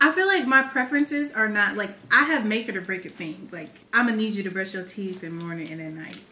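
Her pace is very fast. The woman's pitch is fairly high. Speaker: vlogger. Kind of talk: casual chat. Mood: relaxed, playful. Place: home room.

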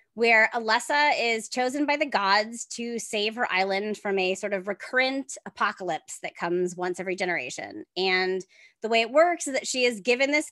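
Lively intonation marks this woman's fairly high, bright and sharp voice. The sound is dry, with no echo. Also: quiet background. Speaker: author. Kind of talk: podcast interview answer. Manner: fast. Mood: upbeat, enthusiastic. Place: home room. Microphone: earbuds.

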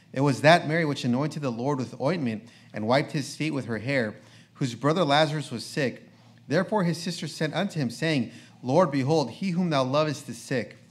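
With ordinary pitch variation, the man delivers his words at a fairly quick pace. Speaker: preacher. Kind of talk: reading aloud. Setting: church. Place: church.

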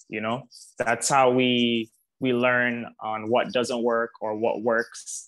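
A man speaking at a very slow pace in a monotone, flat intonation against a quiet background. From Jamaica. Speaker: motion graphic designer and artist; guest. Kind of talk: panel discussion. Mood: encouraging, reflective. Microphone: earbuds.

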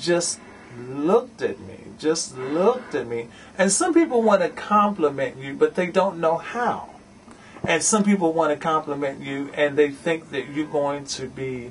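A man at a fairly slow pace, lively intonation, big swings in loudness, light background noise. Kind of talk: interview answer. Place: shop. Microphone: camera far.

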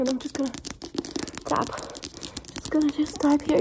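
With noticeable background noise behind her, a woman speaks with a high pitch and fairly even intonation. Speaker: ASMR creator. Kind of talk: fast chaotic ASMR personal attention role-play. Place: home room. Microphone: phone near.

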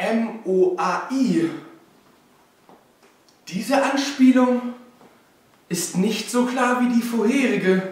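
In a put-on character voice pitched extremely high, a man speaks at a very slow pace with ordinary pitch variation, long and frequent pauses, and strong room echo.

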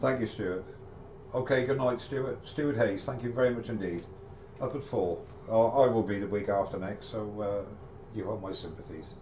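A man with a British accent at medium pitch and a moderate pace, long, frequent pauses, audible room echo, and light background noise. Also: ordinary pitch variation. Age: 60s. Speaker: woodturner; woodturner live streamer. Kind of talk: live-streamed woodturning tutorial. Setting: live stream video. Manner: chatty, friendly. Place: workshop. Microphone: webcam.

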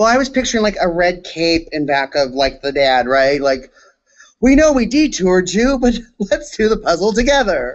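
A man with an American accent talks at a moderate pace. His pitch is high and swings very widely. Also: very even loudness. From Southern California. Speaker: comedian and recap co-host; comedian, recap co-host. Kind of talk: casual chat. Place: home room. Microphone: video call.

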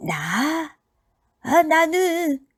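The speaker puts on a squeaky character voice. The intonation stays fairly even. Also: woman, extremely high pitch for a woman. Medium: read story. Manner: old-man speech endings.

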